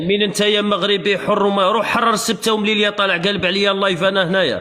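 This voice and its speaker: A man talks in a high voice at a fairly quick pace. The room echoes audibly, and background noise is noticeable. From Algeria. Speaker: live streamer. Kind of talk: heated debate. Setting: livestream. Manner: animated.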